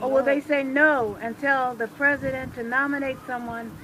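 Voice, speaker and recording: A woman speaks at a moderate pace in an American accent, her pitch high. Her intonation is monotone and flat, with noticeable background noise behind her. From Washington, D.C. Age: 60s. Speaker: retired electrician and rally speaker. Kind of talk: rally speech.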